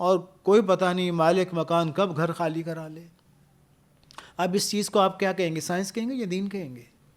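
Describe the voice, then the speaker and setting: The speaker is a man. His pitch is high. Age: 50s. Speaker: university professor and speaker. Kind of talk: podcast interview.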